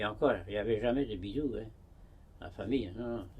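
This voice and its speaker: A man's medium-pitched voice, dark and mellow in tone and somewhat breathy, with ordinary pitch variation. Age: 90s. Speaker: hermit monk. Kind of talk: interview. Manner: halting.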